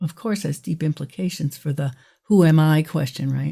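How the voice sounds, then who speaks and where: The voice has a dark, mellow tone and sounds somewhat breathy, with ordinary pitch variation. The recording is very clean, with a silent background. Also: woman. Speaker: fiction author. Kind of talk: interview. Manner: hesitant with fillers.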